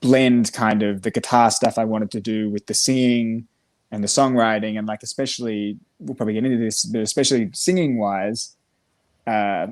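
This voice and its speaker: Pitched at a medium level, a man with an Australian accent speaks at a moderate pace with fairly even intonation. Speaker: musician. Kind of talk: casual interview chat.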